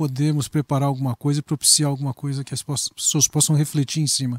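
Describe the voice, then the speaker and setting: A man talks at a fairly high pitch, somewhat breathy. The sound is dry and close, with no echo. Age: 60s. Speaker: pastor. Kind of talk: interview conversation.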